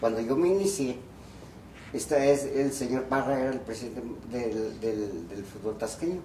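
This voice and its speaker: Amid noticeable background noise and audible room echo, a man of medium pitch speaks at a moderate pace with lively intonation. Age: 80s+. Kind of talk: interview, reminiscing. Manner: halting, repetitive.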